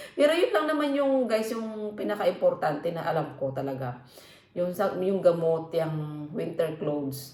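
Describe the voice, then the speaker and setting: With very wide pitch swings, a woman speaks at a fairly low pitch and fairly slow pace, amid noticeable background noise and audible room echo. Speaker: vlogger. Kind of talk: casual vlog talk.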